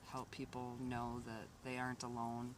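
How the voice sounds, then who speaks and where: A man speaks in a medium pitch. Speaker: vlogger. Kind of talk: casual video update. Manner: hesitant, many fillers.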